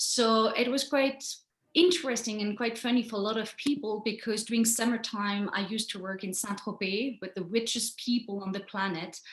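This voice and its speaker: A woman talks in a French accent at a fairly high pitch. Her pace is moderate and her pitch varies in an ordinary way. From France. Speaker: photographer. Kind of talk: presentation. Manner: halting.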